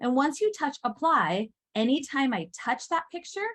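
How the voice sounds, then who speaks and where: The woman's voice is somewhat breathy. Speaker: teacher trainer. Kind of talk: workshop presentation. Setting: in-person session with live audience. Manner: fast.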